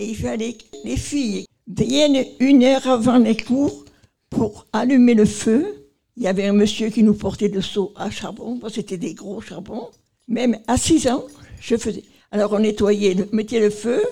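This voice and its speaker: A woman speaks at a fairly slow pace with a fairly high pitch and a dark, mellow tone. Her loudness swings widely. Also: ordinary pitch variation. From Marseille, southern France. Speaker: nursing home resident. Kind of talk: interview. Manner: halting.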